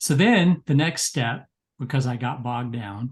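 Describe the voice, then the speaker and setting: Somewhat breathy, a man speaks at a medium pitch. His pace is fairly slow. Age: 60s. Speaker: psychologist and memoir writer. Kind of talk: webinar discussion. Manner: animated storytelling.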